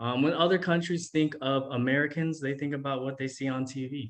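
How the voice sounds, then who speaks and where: With a Los Angeles accent, a man speaks at a fairly quick pace and a medium pitch. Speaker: teacher. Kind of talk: presentation to students. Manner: casual, many fillers.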